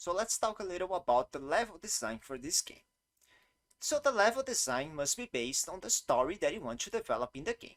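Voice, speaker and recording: High male voice with a Brazilian Portuguese accent, fairly quick pace, very wide pitch swings, and big swings in loudness, in a dry, close sound with no echo. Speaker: game developer. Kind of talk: tutorial. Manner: non-native, occasional halting.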